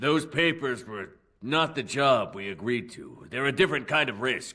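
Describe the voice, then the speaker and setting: A man does a put-on character voice at a medium pitch. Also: moderate pace. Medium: video game. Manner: dry, sardonic.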